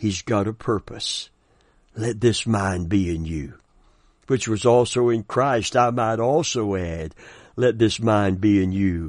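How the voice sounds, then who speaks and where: A man talks at a very slow pace, his fairly low pitch moving with ordinary variation. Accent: Southern US. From US South. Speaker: pastor. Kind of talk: sermon. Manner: animated.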